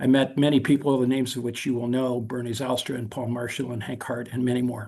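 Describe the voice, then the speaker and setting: A man talks with a General American accent. His delivery is very fast, in a monotone, flat intonation. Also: medium pitch for a man. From South Korea (American missionary family), then US. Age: 70s. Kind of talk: invited talk on video call. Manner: halting, frequent fillers and restarts.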